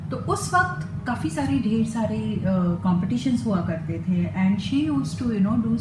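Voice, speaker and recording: Over music in the background, a woman talks with very wide pitch swings. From Mumbai, India. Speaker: voice over artist. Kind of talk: interview answer.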